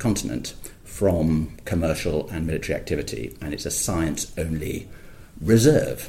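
A somewhat breathy male voice with a dark, mellow tone and lively intonation. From Scotland. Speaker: polar explorer and campaigner. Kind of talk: interview. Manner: hesitant, many fillers.

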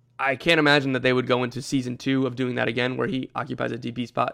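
A man rattles along at a very fast pace and medium pitch in a monotone, flat delivery. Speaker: soccer podcast host. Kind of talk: solo podcast monologue.

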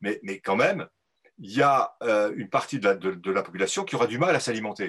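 At a moderate pace, a man of medium pitch speaks with very wide pitch swings. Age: 60s. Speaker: agricultural economist. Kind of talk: live interview. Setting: video call.

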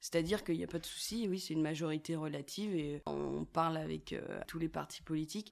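At a fairly quick pace, a woman talks with a very deep, low pitch and fairly even intonation. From France, Loire (Saint-Étienne). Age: 20s. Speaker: youth political coordinator. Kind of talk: interview.

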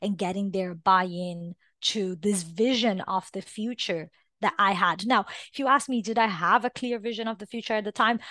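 Against a quiet background, a woman with a Portuguese accent speaks at a moderate pace in a medium pitch, her fairly even intonation captured in a dry, close sound with no echo. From Brazil. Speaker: tech business leader. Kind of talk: interview.

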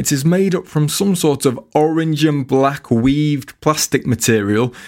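A man with an unremarkable speaking voice talks at a fairly high pitch, his intonation lively and his pace fairly slow. The recording is very clean and the background silent. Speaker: comedian and writer performing a scripted piece. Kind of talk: dramatic narration, surreal first-person storytelling, played as an auctioneer.

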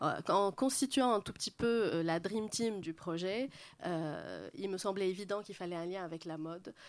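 A woman's ordinary speaking voice at medium pitch, fairly slow, with ordinary pitch variation, on a very clean recording with a silent background. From Lebanon, Beirut. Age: 40s. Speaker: interior architect. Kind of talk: public panel talk.

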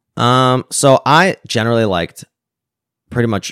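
Heard on a very clean recording with a silent background and a dry, close sound with no echo, a man with a Canadian accent speaks with vocal fry. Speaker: tech entrepreneur and programmer. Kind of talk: casual chat.

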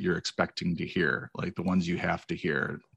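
A man with an American accent speaks at a moderate pace in an unremarkable speaking voice, with ordinary pitch variation. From Wisconsin, US Midwest. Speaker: fantasy football podcaster. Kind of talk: casual chat.

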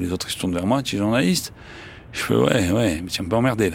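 Here a man speaks at a very fast pace. His pitch is very deep and low. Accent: Marseille. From Marseille, France. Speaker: journalist and writer. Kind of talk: interview testimony. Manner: casual, with frequent hesitations.

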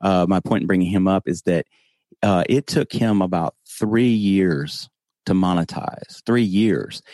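Speaking in a Southern US accent, a man with a fairly low pitch and a dark, mellow tone talks at a fairly slow pace with ordinary pitch variation, the sound dry and close with no echo against a quiet background. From US South. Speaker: podcast host. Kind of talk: casual interview. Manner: humorous.

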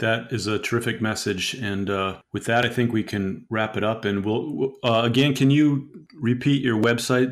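This man talks at a moderate pace with hardly any pauses, in a normal speaking voice at medium pitch with ordinary pitch variation. The recording is very clean, with a silent background. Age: 50s. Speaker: podcast host. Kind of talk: interview.

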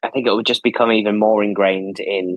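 A man in a Lancashire accent with monotone, flat intonation. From northern England, Preston, Lancashire. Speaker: theatre producer. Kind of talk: casual interview.

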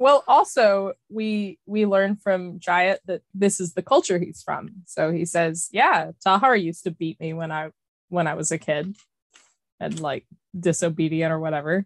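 At a fairly slow pace, a normal speaking voice carries ordinary pitch variation, the sound dry and close with no echo. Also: woman, fairly low pitch for a woman. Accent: American. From US South, Arkansas (Eureka Springs). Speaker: book club podcast co-host. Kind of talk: casual chat.

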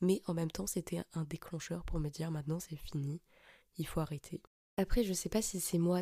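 A dark, mellow, somewhat breathy voice moves at a moderate pace, captured dry and close with no echo. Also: woman. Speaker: podcast host. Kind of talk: personal monologue. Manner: hesitant, many fillers.

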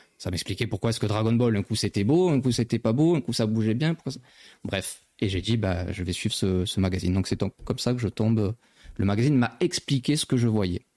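In a very clean recording with a silent background and a dry, close sound with no echo, a man talks fairly quickly at a medium pitch, his dark, mellow tone carrying ordinary pitch variation. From southern France, Marseille. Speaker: magazine editor-in-chief, anime journalist. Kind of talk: casual chat. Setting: live stream studio.

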